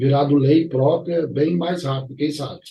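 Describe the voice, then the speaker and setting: Somewhat breathy with a dark, mellow tone, this man speaks at a fairly high pitch with ordinary pitch variation. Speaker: arbitration and mediation YouTuber. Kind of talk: educational vlog. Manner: casual, conversational.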